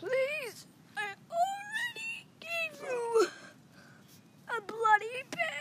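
A woman's put-on character voice at an extremely high pitch, very slow pace with long, frequent pauses. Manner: miserable, pleading.

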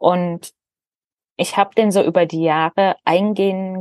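Recorded dry and close with no echo, a woman speaks in a flat monotone at a fairly low pitch. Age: 30s. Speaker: former Jehovah's Witness sharing her story. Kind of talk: interview testimony.

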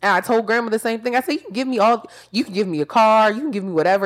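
A woman with a fairly high pitch talks at a very fast pace in an animated tone. The recording is very clean, with a silent background. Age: 20s. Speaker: podcast host. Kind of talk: casual chat.

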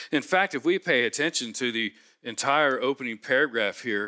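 A man with a normal speaking voice, medium in pitch and moderate in pace, with an American accent, in a very clean recording with a silent background and a dry, close sound with no echo. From US Midwest, Cincinnati. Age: 60s. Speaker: pastor. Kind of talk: sermon.

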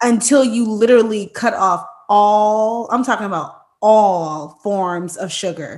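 At a fairly slow pace, a woman uses a plain, everyday voice with a fairly high pitch and ordinary pitch variation. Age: 30s. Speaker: podcast co-host and teacher. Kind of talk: casual chat.

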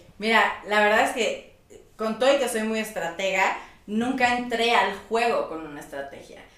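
The voice has big swings in loudness and ordinary pitch variation, with audible room echo and noticeable background noise. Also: woman, fairly high pitch for a woman, moderate pace. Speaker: former reality show contestant and influencer. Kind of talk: casual interview chat.

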